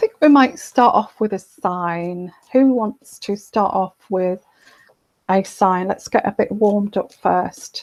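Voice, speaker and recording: Soft-spoken and at a very slow pace, a woman talks at a medium pitch in a dry, close sound with no echo. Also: ordinary pitch variation. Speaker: tarot reader. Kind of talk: live stream Q&A. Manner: halting.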